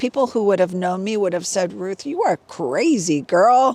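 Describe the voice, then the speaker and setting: A woman talks at a medium pitch with lively intonation. It is a normal speaking voice. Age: 60s. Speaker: fitness and wellness vlogger. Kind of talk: casual vlog monologue. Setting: outdoors hiking. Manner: conversational with fillers.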